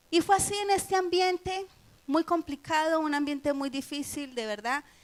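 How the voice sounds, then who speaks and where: With a Colombian accent, a woman speaks at a moderate pace. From Colombia, Medellín. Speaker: missionary. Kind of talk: testimony.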